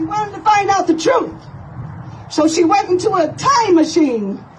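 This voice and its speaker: Very wide pitch swings from a woman talking, with background noise clearly audible. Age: 70s. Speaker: paralegal private investigator. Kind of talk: public speech to crowd. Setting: outdoors.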